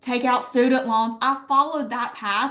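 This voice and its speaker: A woman with an Alabama accent, animated and bright with a sharp edge, at a fairly slow pace. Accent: Southern (Alabama). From Alabama, US South. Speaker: network marketing leader, former teacher. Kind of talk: sales pitch.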